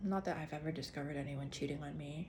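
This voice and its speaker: A somewhat breathy, animated woman's voice with an American accent and audible room echo. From Singapore. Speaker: actor and vlogger. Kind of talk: casual monologue. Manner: animated, with self-corrections and restarts.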